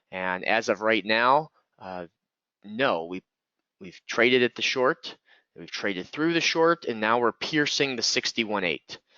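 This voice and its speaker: A man's ordinary speaking voice, medium in pitch, fairly slow, with lively intonation. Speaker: trading educator. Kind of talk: live trading webinar commentary. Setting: online webinar.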